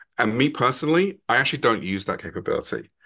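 In an English accent, a bright, sharp voice makes very wide pitch swings against a quiet background. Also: man. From England, London. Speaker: product marketing executive. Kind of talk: podcast interview.

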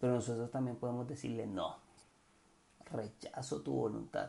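A man speaks in a Cartagena Colombian accent. His tone is dark and mellow. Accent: Cartagena coastal Colombian, drops R sounds. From Cartagena, Colombian Caribbean coast. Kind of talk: casual devotional monologue. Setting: home recording at night. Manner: hesitant, many fillers and repetitions.

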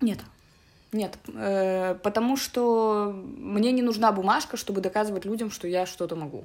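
On a very clean recording with a silent background, a woman with an unremarkable speaking voice talks at a medium pitch and a fairly slow pace with ordinary pitch variation. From Belarus, Minsk. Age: 20s. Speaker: English teacher. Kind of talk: casual interview.

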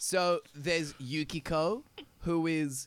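Speaking with an Australian accent, a man uses a fairly high pitch. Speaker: podcast co-host. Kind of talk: casual chat.

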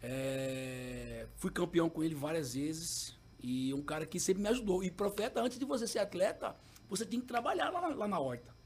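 A man's high-pitched voice with very wide pitch swings at a moderate pace, against noticeable background noise. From Cuiabá, Mato Grosso, Brazil. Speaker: former professional goalkeeper. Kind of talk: casual interview chat.

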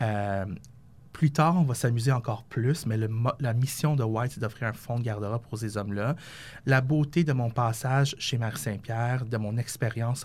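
A man with a normal speaking voice at a medium pitch talks at a fairly slow pace with ordinary pitch variation, on a very clean recording with a silent background. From Quebec, West Island of Montreal. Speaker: fashion designer and company founder. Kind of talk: interview.

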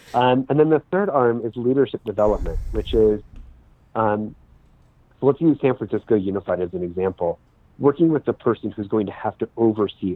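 In an American accent, a man with an unremarkable speaking voice talks at a moderate pace and medium pitch with lively intonation. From US West Coast (Sacramento, California). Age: 30s. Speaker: non-profit fundraising consultant. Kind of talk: casual interview.

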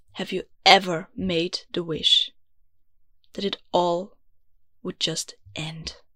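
A woman with an Austrian accent speaks at medium pitch in a bright, sharp tone, monotone and flat, at a very slow pace with long, frequent pauses and big swings in loudness, in a dry, close sound with no echo. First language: German. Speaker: podcast host. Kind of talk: scripted podcast intro, personal and heartfelt. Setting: home recording in a closet.

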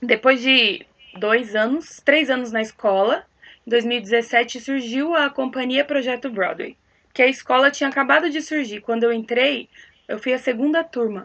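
Her pace is fairly slow. The woman speaks at a high pitch. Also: ordinary pitch variation. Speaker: actress and singer. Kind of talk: casual chat.

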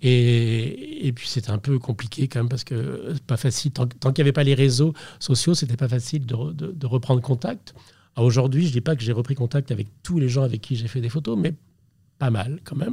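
Somewhat breathy, a man talks at a fairly quick pace with a medium pitch and ordinary pitch variation. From Brittany, France (Brest). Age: 60s. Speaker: portrait photographer. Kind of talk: interview. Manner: halting, repeats words.

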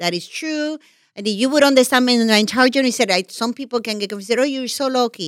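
Someone with a Puerto Rican accent talks at a very fast pace with ordinary pitch variation. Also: woman, high pitch for a woman. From Puerto Rico. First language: Spanish. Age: 50s. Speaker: television executive. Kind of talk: podcast interview.

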